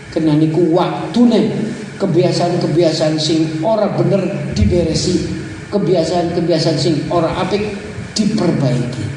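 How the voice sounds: At a fairly slow pace with few pauses, a man speaks at a fairly high pitch with ordinary pitch variation, and audible room echo surrounds him.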